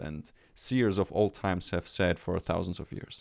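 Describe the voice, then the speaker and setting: In a German accent, a man speaks at a moderate pace with a very deep, low pitch, the sound dry and close with no echo on a very clean recording with a silent background. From Germany. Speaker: life coach. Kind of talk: casual interview chat. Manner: halting.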